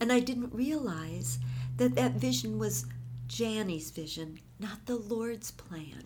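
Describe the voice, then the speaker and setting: A woman with an American accent, vocal fry, very wide pitch swings, and a fairly slow pace. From US Midwest, Minneapolis. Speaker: pastor's wife and Bible teacher. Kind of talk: interview testimony and encouragement.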